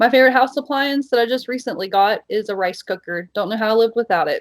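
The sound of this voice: A woman speaks with an American accent. Her pitch varies in an ordinary way.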